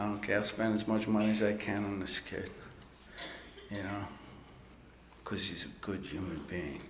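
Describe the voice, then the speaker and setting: With an American accent, a man speaks at a moderate pace in a fairly low, monotone, flat voice, with audible room echo and noticeable background noise. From New York City. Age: 60s. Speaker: recovery speaker. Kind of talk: recovery talk at convention. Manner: casual, profane storytelling.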